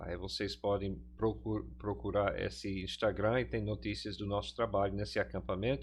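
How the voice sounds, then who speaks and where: Against a quiet background, a man talks with an English accent. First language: English (speaking Portuguese). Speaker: pastor and teacher. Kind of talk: lecture. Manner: halting, many fillers.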